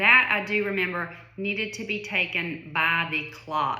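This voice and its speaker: A woman with a Southern US accent speaks at a medium pitch with lively intonation. There is noticeable background noise and audible room echo. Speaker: vlogger sharing illness experience. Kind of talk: personal testimony monologue. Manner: casual, conversational with many fillers.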